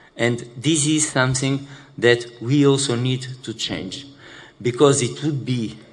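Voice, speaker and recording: A man's medium-pitched voice with a Portuguese accent, fairly even intonation and a fairly slow pace, with audible room echo. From Portugal. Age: 60s. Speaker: HIV activist living with HIV. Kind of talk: conference panel talk. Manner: halting, many fillers.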